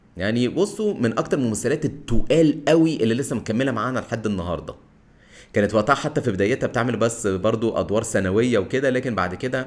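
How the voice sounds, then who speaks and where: With a Cairo accent, a man talks at a fairly quick pace. His pitch is medium and his intonation lively. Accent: Egyptian Arabic (Cairene). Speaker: podcast host. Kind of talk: solo monologue on film history. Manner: casual, conversational.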